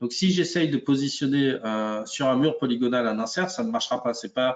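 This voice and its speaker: A man talks at a moderate pace in an unremarkable speaking voice. His pitch sits in the medium range, with ordinary pitch variation. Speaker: software product expert. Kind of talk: webinar software demo. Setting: live webinar.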